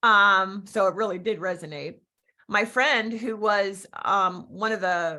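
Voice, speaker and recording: A woman with a Philadelphia accent, medium in pitch with ordinary pitch variation and a bright, sharp tone, in a very clean recording with a silent background. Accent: Philadelphia-area. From Philadelphia area, Pennsylvania (Berks County, part Pennsylvania Dutch). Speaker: real estate agent and business coach. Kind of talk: interview with personal stories. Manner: animated.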